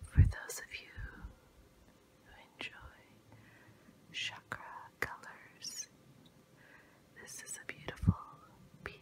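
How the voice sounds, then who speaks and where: Whispering in a gentle tone at a very slow pace, the speaker leaves long, frequent pauses, and the loudness swings a lot. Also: woman. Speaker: ASMR creator. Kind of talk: ASMR whisper. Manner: whispered, gentle, soft. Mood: calm, soothing. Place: home room.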